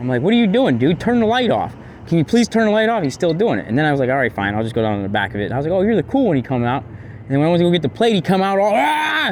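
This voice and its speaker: With hardly any pauses, a man with a fairly high pitch races along at a very fast pace, making very wide pitch swings over noticeable background noise. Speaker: citizen filming police. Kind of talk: confrontational street conversation. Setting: outdoors. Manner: halting.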